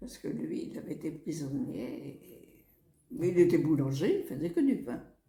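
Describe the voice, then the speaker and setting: A woman's fairly slow speech with audible room echo. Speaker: elderly relative sharing life memories. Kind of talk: oral history interview.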